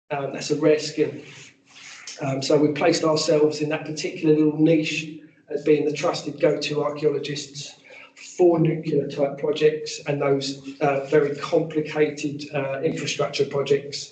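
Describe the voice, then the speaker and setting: Over light background noise and audible room echo, a man speaks at a moderate pace in a fairly high, flat monotone. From England, Essex near Epping; Essex. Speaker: archaeologist and heritage consultant; presenter. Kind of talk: professional presentation. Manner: hesitant fillers. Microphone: video call.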